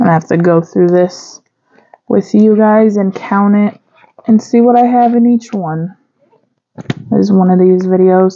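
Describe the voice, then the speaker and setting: A woman at a moderate pace with long, frequent pauses, very even loudness and fairly even intonation. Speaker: budgeting vlogger. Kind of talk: casual vlog chat. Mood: relaxed, light laughter. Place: home room.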